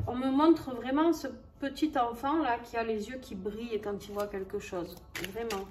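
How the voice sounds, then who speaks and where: Speaking in a southern French accent, a woman uses a high pitch with ordinary pitch variation. Her pace is fairly slow, and noticeable background noise is present. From southern France. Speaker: tarot and oracle card reader. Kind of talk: astrology card reading. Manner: casual, hesitant with many fillers.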